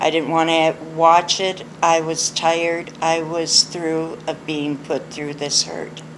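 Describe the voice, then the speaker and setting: A woman's fairly low, flat monotone at a very slow pace, with noticeable background noise. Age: 60s. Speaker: abuse survivor sharing her story. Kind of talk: personal testimony.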